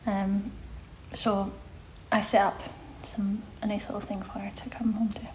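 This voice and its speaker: At a moderate pace and medium pitch, a woman speaks in a flat monotone with big swings in loudness, long, frequent pauses and audible room echo. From Scotland, Glasgow. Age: 30s. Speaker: social media presenter. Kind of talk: casual live stream Q&A. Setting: live stream reading chat. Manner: chatty, informal.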